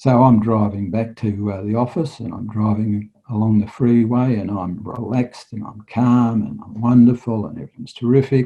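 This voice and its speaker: A man with an Australian accent speaks at a moderate pace in a medium pitch, his dark, mellow tone carrying big swings in loudness, fairly even intonation and hardly any pauses. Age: 60s. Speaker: retired police detective and hypnotherapist. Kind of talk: interview storytelling.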